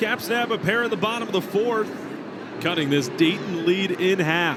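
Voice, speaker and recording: The speech moves at a moderate pace with ordinary pitch variation and very even loudness. Noticeable background noise sits underneath. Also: man, high pitch for a man. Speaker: sports play-by-play broadcaster. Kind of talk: baseball TV play-by-play call.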